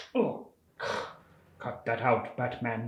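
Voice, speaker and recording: This is a put-on character voice. Its pitch sits in the low-to-middle range. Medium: solo performance. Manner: cold, determined.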